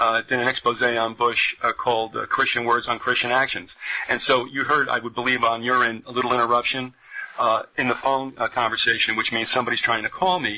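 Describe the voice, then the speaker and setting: A man at medium pitch speaks fairly quickly in a monotone, flat delivery, with noticeable background noise behind him. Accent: New Jersey. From New Jersey. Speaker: radio host. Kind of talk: radio interview. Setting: radio studio.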